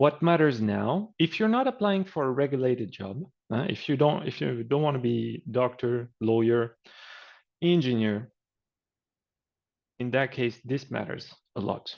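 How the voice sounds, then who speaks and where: A man's medium-pitched, fairly slow speech in a French accent, with lively intonation and long, frequent pauses. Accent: French accent, reduced. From France. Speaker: career coach. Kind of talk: webinar presentation. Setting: online webinar, screen sharing. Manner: casual, conversational.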